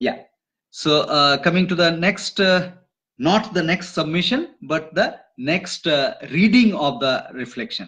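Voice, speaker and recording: A man speaks very slowly in a high pitch with lively intonation. His tone is bright and sharp. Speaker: online course teacher. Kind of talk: online class, reading out student reflections. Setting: live stream from home office. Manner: loud; halting, many fillers.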